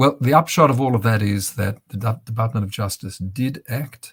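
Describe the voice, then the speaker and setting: A man with an Australian accent, fairly low in pitch, somewhat breathy, with ordinary pitch variation and a moderate pace. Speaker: bereaved father and activist. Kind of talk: interview talk.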